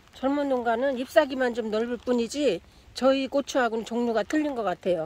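Light background noise sits under the speech. It moves at a moderate pace, dry with no echo. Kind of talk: casual vlog chat. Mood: cheerful, amused. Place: garden. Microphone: phone near.

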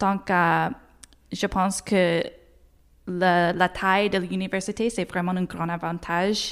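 In an English accent, a woman speaks very slowly at a medium pitch with monotone, flat intonation. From Nova Scotia, Halifax. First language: English (speaking French). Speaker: university graduate, award winner. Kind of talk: interview. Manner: halting, many fillers.

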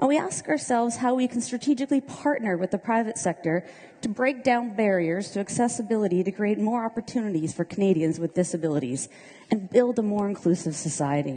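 A woman's very fast speech with lively intonation. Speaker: government minister. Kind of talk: keynote speech. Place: hall.

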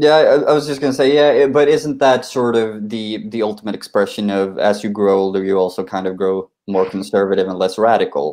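A fairly low-pitched man with a Swedish accent, ordinary pitch variation, a fairly quick pace and hardly any pauses, against a quiet background. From Sweden. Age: 20s. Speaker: republican society representative; panelist. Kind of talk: live online panel debate. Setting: video call. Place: home room. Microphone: video call.

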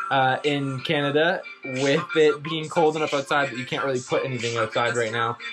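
A man at a fairly quick pace, with music clearly playing in the background. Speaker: bus conversion vlogger. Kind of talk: casual vlog chat. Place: bus. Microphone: phone near.

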